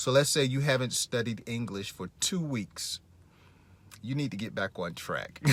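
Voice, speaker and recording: A man speaks in an ordinary speaking voice, his medium pitch carried by lively intonation and a moderate pace. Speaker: English teacher podcaster. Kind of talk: language lesson.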